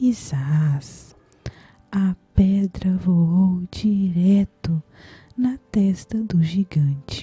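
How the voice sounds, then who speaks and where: A soft-spoken woman's whispering in a gentle tone, in a dry, close sound with no echo. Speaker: ASMR creator playing a caring grandmother. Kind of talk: bedtime Bible story narration, gentle storytelling. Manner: soft, whispery, gentle.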